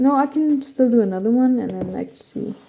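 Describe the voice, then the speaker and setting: A woman's dark, mellow voice at a fairly slow pace, with ordinary pitch variation. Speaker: art YouTuber. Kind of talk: casual vlog narration. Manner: casual, filler-heavy.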